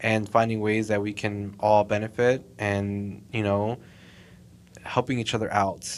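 Speaking in an American accent, a man uses a fairly low pitch. His delivery is fairly slow, with monotone, flat intonation. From Texas, Southside Fort Worth. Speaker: mall marketing coordinator. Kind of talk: casual interview.

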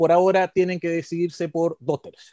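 Over a quiet background, a man with a plain, everyday voice speaks fairly slowly at a fairly high pitch, the sound dry and close with no echo. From Chile, Coquimbo region. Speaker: podcast co-host, constitutional commentator. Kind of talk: casual explanatory chat.

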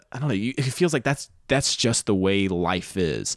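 In a plain, everyday voice, a man with an American accent talks at a moderate pace with lively intonation. The recording is very clean with a silent background, and the sound is dry and close with no echo. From US South. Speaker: podcast host and comedian. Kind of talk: podcast intro; casual chat.

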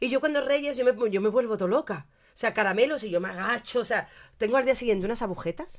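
Very fast and animated, a woman speaks at a fairly high pitch with lively intonation. The recording is very clean with a silent background. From Andalusia, Cádiz. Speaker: podcast co-host. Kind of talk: casual chat. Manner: animated, frequent laughter.

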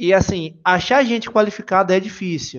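Spoken in a Bahian accent, the voice shows ordinary pitch variation. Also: man. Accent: Bahian Brazilian Portuguese. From Bahia, Brazil (Salvador). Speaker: software engineer. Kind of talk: podcast interview.

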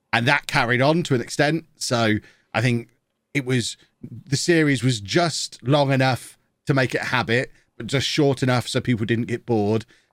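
A man in a plain, everyday voice keeps a moderate pace, his pitch medium with ordinary variation. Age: 40s. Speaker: football video game content creator. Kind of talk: casual interview chat.

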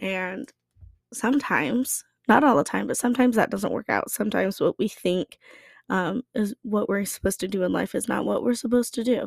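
A woman's fairly high, fry-tinged voice at a fairly quick pace with ordinary pitch variation, on a very clean recording with a silent background and a dry, close sound with no echo. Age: 20s. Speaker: podcast host. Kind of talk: personal reflection monologue. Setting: at home. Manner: casual with frequent laughter.

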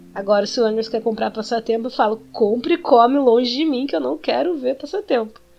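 Over music in the background, a woman talks at a fairly quick pace with a fairly high pitch and lively intonation. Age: 20s. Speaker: podcast co-host, expectant mother. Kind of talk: casual chat.

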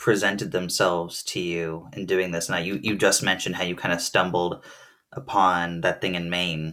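With an American accent, a man talks in a very deep, low voice. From New Jersey. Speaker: podcast host. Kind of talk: interview conversation. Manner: halting.

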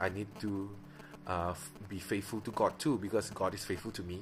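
A man speaks in a fairly low pitch. He talks with a Malaysian accent. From Miri, Sarawak. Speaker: preacher and podcaster. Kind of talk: casual personal podcast, testimony. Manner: close to the mic, soft, ASMR-like; unscripted, casual, filler words.

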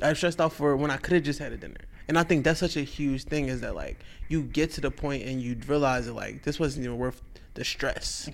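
A man talks at a fairly quick pace with a fairly high pitch and vocal fry. His intonation stays fairly even. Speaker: comic artist guest. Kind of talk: casual interview chat.

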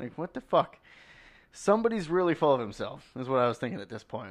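In an unremarkable speaking voice, a man talks at a fairly quick pace with lively intonation. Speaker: podcast co-host.

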